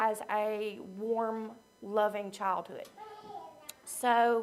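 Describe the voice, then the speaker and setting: A woman with a Southern US accent speaks at a fairly high pitch. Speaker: recovery program member sharing her story. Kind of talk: testimony. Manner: shaky, emotional; halting, many fillers.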